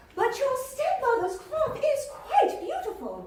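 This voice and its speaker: A squeaky, female-sounding put-on character voice at an extremely high pitch moves at a fairly slow pace, with slight echo and light background noise. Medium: comedy sketch. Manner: chatty, affectionate.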